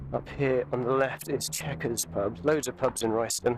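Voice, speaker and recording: A quiet man at a moderate pace. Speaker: vlogger. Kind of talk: walking tour commentary. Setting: outdoors. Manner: casual.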